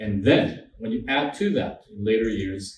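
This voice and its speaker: Somewhat breathy and in a Quebec accent, a man talks at a moderate pace with lively intonation. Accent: French Canadian accent in English. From French Canada. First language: French. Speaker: law professor and human rights trainer. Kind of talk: lecture.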